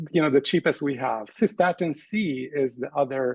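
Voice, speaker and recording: A man talks in a plain, everyday voice, fairly high-pitched with ordinary pitch variation. At a moderate pace, the sound is dry and close with no echo. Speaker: kidney doctor. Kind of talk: interview.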